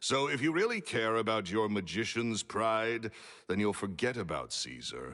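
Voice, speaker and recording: A man's voice, fairly low in pitch. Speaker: video game character. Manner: curt, businesslike.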